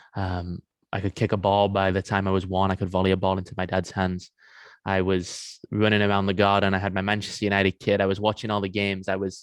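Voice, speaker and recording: A man with an English accent, fairly low pitch, monotone flat intonation and a very fast pace, in a very clean recording against a silent background. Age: 20s. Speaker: men's coach and former pro athlete. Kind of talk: podcast interview.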